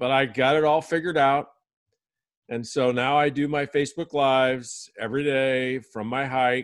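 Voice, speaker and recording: This man has an unremarkable speaking voice at a medium pitch, talking at a fairly slow pace over a quiet background. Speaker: podcast guest host. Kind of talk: casual interview chat.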